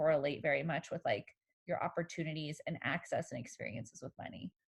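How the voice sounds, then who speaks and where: The woman's voice sounds somewhat breathy. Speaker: therapist. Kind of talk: casual chat.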